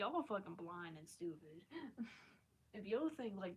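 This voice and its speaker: Speaking in a Mid-Atlantic accent, a woman with a medium pitch uses lively intonation and some vocal fry. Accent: American, Mid-Atlantic. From Maryland, US. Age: 20s. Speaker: live streamer. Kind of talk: casual live-stream chat.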